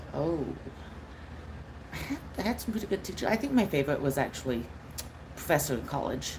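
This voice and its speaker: Audible room echo surrounds a woman speaking with lively intonation in an American accent. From United States. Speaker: streamer. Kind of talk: live stream Q&A chat. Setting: live stream at laptop. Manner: expressive.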